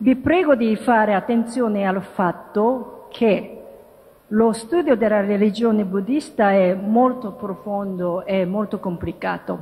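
This woman speaks with a Japanese accent at a very slow pace. Her pitch is fairly high. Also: ordinary pitch variation. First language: Japanese (speaking Italian). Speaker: interfaith dialogue promoter. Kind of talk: lecture. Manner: halting. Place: hall. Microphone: podium.

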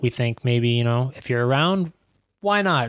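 A man talks at a fairly quick pace against a quiet background. The sound is dry, with no echo. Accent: New York. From Queens, New York; New York. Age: 20s. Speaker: professional soccer player; podcast guest. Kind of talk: casual interview. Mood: relaxed, reflective. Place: studio. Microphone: studio mic.

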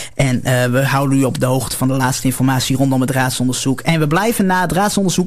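A man at a fairly quick pace. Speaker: local radio presenter, producer and technician. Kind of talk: radio broadcast sign-off and programme announcements. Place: studio. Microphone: studio mic.

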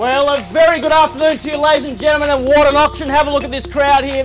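A man talks at a very fast pace with an extremely high pitch. Clear music plays in the background. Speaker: real estate auctioneer. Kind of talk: auction introduction to a crowd. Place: street.

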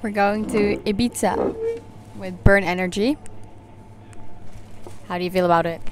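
Over noticeable background noise, a woman speaks at a moderate pace with long, frequent pauses, the sound dry with no echo. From Netherlands. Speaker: vlogger. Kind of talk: casual vlog talk to camera. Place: cafe. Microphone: lapel.

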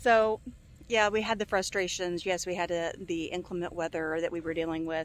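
The recording has a dry sound with no echo. A woman talks at a moderate pace. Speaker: homesteader vlogger. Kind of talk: casual vlog chat. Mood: reflective, upbeat. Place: open country. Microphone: phone near.

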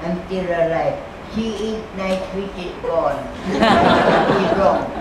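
A woman speaks at a very slow pace. Loud background noise and audible room echo fill the recording. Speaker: charity worker caring for the needy. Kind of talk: interview answer. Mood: warm, humorous. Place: hall.

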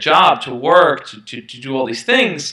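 In a New York accent, a man talks at a moderate pace and medium pitch, with audible room echo over a quiet background. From Brooklyn, New York. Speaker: self-help YouTuber. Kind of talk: interview. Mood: reflective, earnest. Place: home room. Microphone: headset.

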